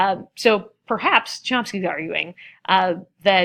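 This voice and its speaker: A woman with a medium pitch and ordinary pitch movement is heard on a very clean recording with a silent background. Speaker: college instructor. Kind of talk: recorded lecture narration. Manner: fast; many fillers and false starts.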